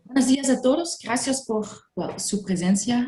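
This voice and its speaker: A woman talks at a moderate pace with a non-native accent. Her tone is dark and mellow, and somewhat breathy. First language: not Spanish (speaking Spanish). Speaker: EU funding consultant. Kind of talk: webinar presentation. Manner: halting, non-native phrasing.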